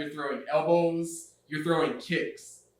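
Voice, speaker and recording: There is audible room echo. In it, a man speaks with a high pitch. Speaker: English teacher, channel host. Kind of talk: casual educational conversation. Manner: high-energy.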